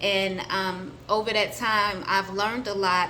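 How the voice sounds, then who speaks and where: Audible room echo surrounds a woman speaking at medium pitch. Her intonation stays monotone and flat. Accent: American. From US South, Atlanta, Georgia. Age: 30s. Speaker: spiritual vlogger. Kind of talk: personal introduction vlog. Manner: hesitant, many fillers.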